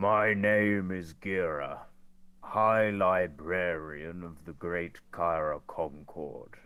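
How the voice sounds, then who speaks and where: In a put-on character voice, a man booms loudly with a very deep, low pitch. He speaks at a very slow pace with fairly even intonation. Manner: announcing, projecting to a crowd.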